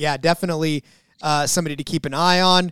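A man's ordinary speaking voice, fairly high in pitch, at a fairly quick pace, with a dry, close sound and no echo. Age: 40s. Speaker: sports betting podcast co-host. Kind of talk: casual chat.

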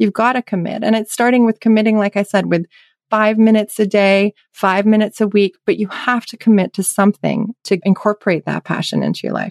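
This woman's voice sits at a medium pitch, delivered in a monotone, flat intonation at a fairly quick pace. The sound is dry and close, with no echo. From England, left at ten. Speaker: charity founder and entrepreneur. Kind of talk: casual interview chat.

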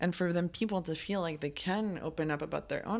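This woman talks at a fairly quick pace with a fairly low pitch and vocal fry. Her pitch varies in an ordinary way, and the recording is very clean with a silent background. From Colombia. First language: Spanish. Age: 20s. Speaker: writer and producer. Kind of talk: casual interview.

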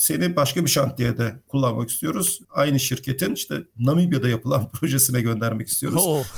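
Using a plain, everyday voice, a man talks at medium pitch and a fairly quick pace with ordinary pitch variation and hardly any pauses. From Turkey, Izmir. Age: 40s. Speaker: mechanical engineer. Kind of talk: interview.

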